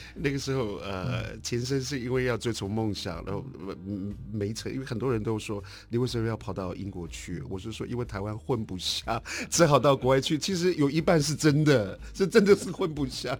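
Speaking at a moderate pace and medium pitch, the man uses lively intonation. Vocal fry runs through his voice. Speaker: artist. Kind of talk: interview.

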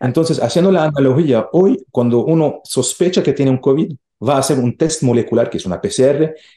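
At a fairly quick pace, a man talks in a fairly high pitch with a dark, mellow tone and lively intonation. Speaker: research centre director. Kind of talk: interview. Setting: remote call. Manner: halting.

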